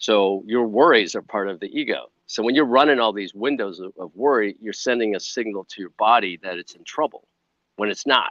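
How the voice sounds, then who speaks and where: A man with an American accent speaks in an unremarkable speaking voice at a medium pitch and a fairly quick pace, with ordinary pitch variation. His loudness swings widely, and the sound is dry and close with no echo. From US Midwest, Chicago. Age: 60s. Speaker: wellness entrepreneur, former film crew. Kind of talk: podcast interview.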